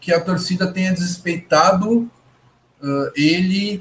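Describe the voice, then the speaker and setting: A man speaks with a southern Brazilian accent. His high pitch carries fairly even intonation. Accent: gaúcho. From Porto Alegre, Rio Grande do Sul, Brazil. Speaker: basketball podcast host. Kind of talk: casual sports chat.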